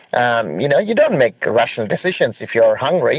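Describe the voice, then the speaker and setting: A man with a non-native accent, speaking at a moderate pace. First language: not English. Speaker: IELTS test candidate. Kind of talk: interview answer. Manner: fluent with frequent fillers.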